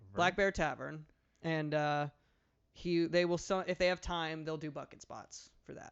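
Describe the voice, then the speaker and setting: Mumbled speech at a fairly slow pace. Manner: mumbling into the mic.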